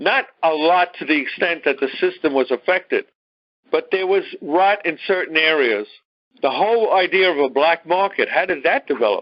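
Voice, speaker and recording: With a Brooklyn accent, a man talks at a high pitch with lively intonation and very even loudness. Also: moderate pace. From New York, Brooklyn. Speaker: teacher. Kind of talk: lecture.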